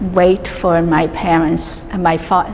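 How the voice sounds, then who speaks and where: A woman speaks very slowly with fairly even intonation over noticeable background noise. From New York City, Chinese immigrant family. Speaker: artist. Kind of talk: describing her artworks. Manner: halting, many fillers.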